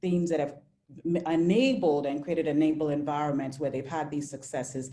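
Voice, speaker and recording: Amid audible room echo, a woman with a very deep, low pitch talks at a fairly quick pace. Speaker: webinar moderator. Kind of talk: panel webinar moderation. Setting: video webinar. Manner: halting with self-corrections.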